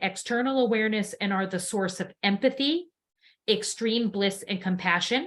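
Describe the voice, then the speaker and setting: Here is a woman with an ordinary speaking voice at a fairly high pitch. She talks at a moderate pace with ordinary pitch variation. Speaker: sound healing teacher. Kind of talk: lecture. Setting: live online class.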